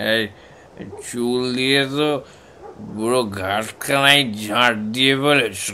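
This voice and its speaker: Mumbling in a put-on character voice, a man speaks at a fairly slow pace and medium pitch, with clear background noise behind him. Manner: slurred, mumbling.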